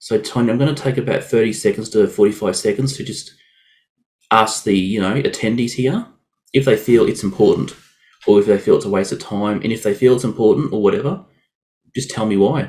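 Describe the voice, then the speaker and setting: A man speaks at a fairly quick pace with an Australian accent. His voice sits at a medium pitch, somewhat breathy, with ordinary pitch variation. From Australia (Queensland). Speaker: WordPress web developer. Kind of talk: webinar presentation. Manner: fast when excited; casual, filler-heavy.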